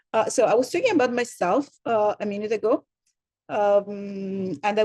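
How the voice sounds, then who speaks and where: A woman with an Italian accent speaks at a moderate pace and a medium pitch. The sound is dry and close with no echo, and her pitch varies in an ordinary way. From Italy. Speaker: university program director. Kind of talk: welcome presentation. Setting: video call. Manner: hesitant, many fillers and repetitions.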